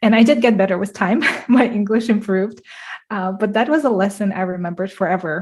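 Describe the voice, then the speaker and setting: A somewhat breathy woman with a Russian accent, a dark, mellow tone, medium pitch, fairly even intonation and a moderate pace. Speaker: translator. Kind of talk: storytelling. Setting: live-streamed online event.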